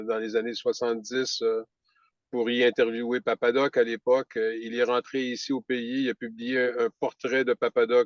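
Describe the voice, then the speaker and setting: At a moderate pace, a man speaks in a monotone, flat intonation, and the sound is dry and close with no echo. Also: medium pitch for a man. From Quebec, Centre-du-Québec region. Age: 70s. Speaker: author, media entrepreneur, former journalist. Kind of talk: interview answer. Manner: hesitant, many fillers.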